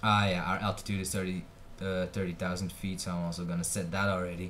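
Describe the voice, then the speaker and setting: A man with a very deep, low voice talks at a very fast pace, with audible room echo. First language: Dutch. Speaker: flight sim gamer. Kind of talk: gameplay commentary. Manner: casual, with many fillers and hesitations.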